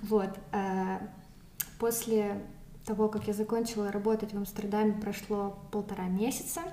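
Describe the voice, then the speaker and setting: A woman at medium pitch in a monotone, flat intonation, with long, frequent pauses, noticeable background noise and audible room echo. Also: fairly slow pace. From Moscow, Russia. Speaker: recent immigrant. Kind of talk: casual interview. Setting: in person at her home.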